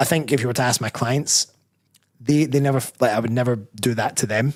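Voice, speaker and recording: A man's medium-pitched voice in a Scottish accent, with fairly even intonation at a fairly quick pace. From Scotland. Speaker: bodybuilder and personal trainer. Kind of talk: live show interview. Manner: mumbling.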